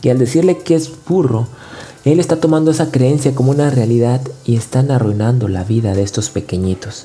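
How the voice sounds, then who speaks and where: A man at medium pitch, with lively intonation and a fairly quick pace over music in the background. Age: 30s. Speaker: podcast host. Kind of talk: motivational monologue. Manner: halting.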